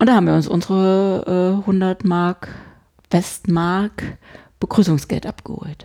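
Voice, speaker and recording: Speaking at a very slow pace, a woman uses a monotone, flat intonation with a dark, mellow tone at a medium pitch. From Saxony-Anhalt, eastern Germany (Hettstedt). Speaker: podcast co-host. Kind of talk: casual chat.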